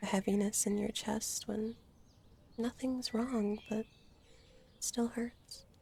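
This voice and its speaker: Soft-spoken and gentle in tone, a woman talks at a very slow pace with a fairly high pitch and monotone, flat intonation. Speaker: ASMR roleplay artist. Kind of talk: comfort ASMR roleplay. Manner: soft-spoken, gentle, slow.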